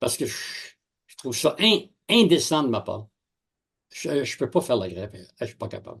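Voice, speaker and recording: With vocal fry and a fairly high voice, a man swings his pitch very widely and leaves long, frequent pauses against a quiet background. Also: moderate pace. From Quebec. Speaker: university professor. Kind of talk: interview, personal anecdotes. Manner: animated storytelling.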